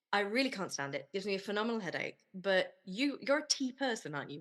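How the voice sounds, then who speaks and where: Here a woman speaks with a British accent. Her pitch is medium and her pace very fast. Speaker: podcast host. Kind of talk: casual interview.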